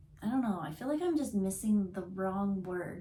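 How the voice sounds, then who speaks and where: A woman talks at a fairly slow pace, her medium-pitched voice somewhat breathy. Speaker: intuitive card reader. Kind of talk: tarot reading on camera. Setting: on camera. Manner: casual, halting with fillers.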